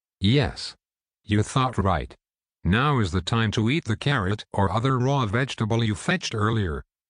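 A raspy put-on character voice moves at a moderate pace with very even loudness and a dry, close sound with no echo. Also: man, medium pitch for a man. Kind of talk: calm guided meditation. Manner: soothing, slow.

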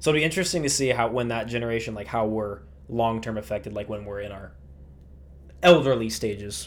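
Spoken at a very fast pace, the voice swings widely in loudness, with audible room echo. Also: man, medium pitch for a man. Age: 20s. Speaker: podcast host. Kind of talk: casual chat.

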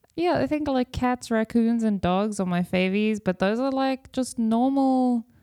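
On a very clean recording with a silent background and a dry, close sound with no echo, a woman speaks at a fairly high pitch and a fairly slow pace, her tone dark and mellow with ordinary pitch variation. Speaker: podcast host. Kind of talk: casual chat.

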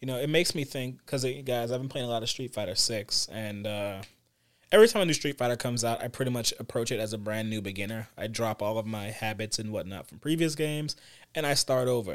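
A man talking very fast with ordinary pitch variation, on a very clean recording with a silent background. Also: medium pitch for a man. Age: 30s. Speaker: gaming podcast co-host. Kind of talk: casual chat.

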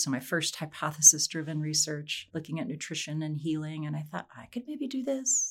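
A woman speaks with an American accent in a very deep, low pitch. The recording is very clean, the background silent. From Wyoming, US. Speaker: professor, aging and exercise researcher. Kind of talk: interview.

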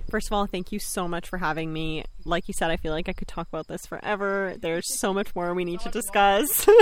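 With a Canadian accent and a normal speaking voice, the speaker goes at a fairly quick pace with hardly any pauses and ordinary pitch variation. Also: woman, medium pitch for a woman. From Bosnia, raised in Serbia then Canada from age 10. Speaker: astrologer and herbalist. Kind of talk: casual interview chat. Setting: outdoors in a backyard garden.

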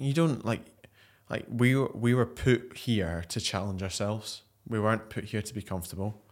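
A man's normal speaking voice, medium in pitch with ordinary pitch variation and a moderate pace, on a very clean recording with a silent background. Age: 20s. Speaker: ultra athlete and personal trainer. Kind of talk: casual chat.

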